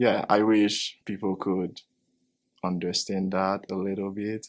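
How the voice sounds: The delivery moves at a slow pace. Its pitch shows little movement. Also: man, low pitch for a man.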